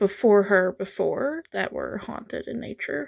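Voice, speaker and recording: Soft-spoken and very slow, the voice has ordinary pitch variation on a very clean recording with a silent background. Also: woman. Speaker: art youtuber. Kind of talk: casual narration while painting. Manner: quiet, soft-spoken.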